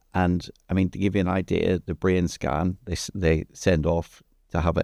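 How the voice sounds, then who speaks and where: With vocal fry and a very deep, low pitch, a man talks at a fairly quick pace and with fairly even intonation in a dry, close sound with no echo on a very clean recording with a silent background. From Ireland. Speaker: entrepreneur. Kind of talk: podcast interview. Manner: halting, with repeated words.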